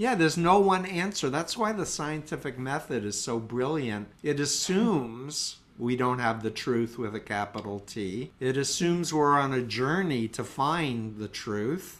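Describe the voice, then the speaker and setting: A man with an American accent speaks in an ordinary speaking voice at a medium pitch and a fairly slow pace. His intonation is lively, and he hardly pauses at all. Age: 60s. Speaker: cult expert and mental health counselor. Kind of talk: interview.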